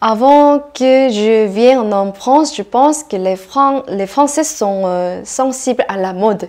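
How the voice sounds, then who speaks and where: A woman's fairly high voice, very slow, with ordinary pitch variation. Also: hardly any pauses. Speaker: interviewee. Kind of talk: interview. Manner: halting.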